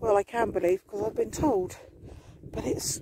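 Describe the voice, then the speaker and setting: The sound is dry with no echo. Loud background noise runs underneath. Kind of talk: casual vlog chat. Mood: relaxed, chatty. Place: open country. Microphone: phone near.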